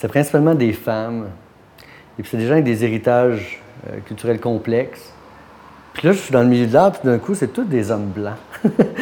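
A man with a medium pitch and a dark, mellow tone speaks at a moderate pace with lively intonation, taking long, frequent pauses. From Quebec. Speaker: art gallery owner. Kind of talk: interview. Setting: art gallery.

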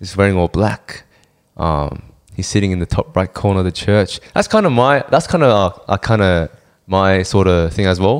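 An ordinary speaking voice belongs to a man with a fairly low pitch. He keeps a moderate pace and ordinary pitch variation. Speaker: podcast co-host. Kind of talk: casual chat.

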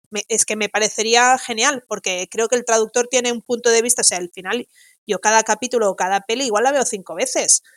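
A woman speaks at a fairly high pitch and a fairly quick pace, with fairly even intonation. The recording is very clean and dry, close with no echo, against a silent background. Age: 40s. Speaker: audiovisual translator. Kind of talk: casual interview chat.

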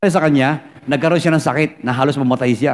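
This man talks at a very fast pace, his pitch varying in an ordinary way. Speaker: pastor. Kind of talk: sermon.

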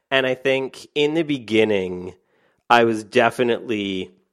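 A medium pitch from a man with an American accent. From Canada. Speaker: author and online entrepreneur. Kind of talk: podcast interview.

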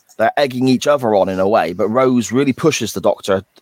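Here a man talks with a British accent. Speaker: podcast host. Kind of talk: casual chat.

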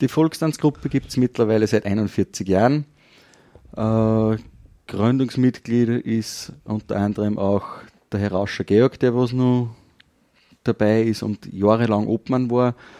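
Speaking at a fairly slow pace with long, frequent pauses, a man uses a medium pitch and a dark, mellow tone with fairly even intonation. The sound is dry and close, with no echo. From Upper Austria, Kirchdorf an der Krems. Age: 30s. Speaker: folk dance group chairman and farmer. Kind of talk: radio interview. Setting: wine shop.

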